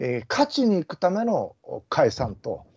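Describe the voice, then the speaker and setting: A man speaks at a fairly slow pace against a quiet background. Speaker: politician. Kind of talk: casual political discussion. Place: home room. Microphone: video call.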